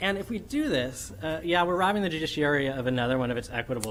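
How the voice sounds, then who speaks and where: Audible room echo surrounds a man talking at a very fast pace. His intonation is lively. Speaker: law professor. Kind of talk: academic conference presentation. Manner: animated.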